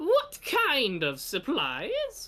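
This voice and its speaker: A man performs a put-on character voice. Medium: actual play. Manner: curt, haughty, self-important.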